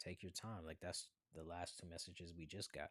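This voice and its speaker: The man's voice is very deep and low in pitch. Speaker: spiritual tarot reader streamer. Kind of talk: live tarot reading stream. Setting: livestream. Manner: slow, taking his time; casual slangy.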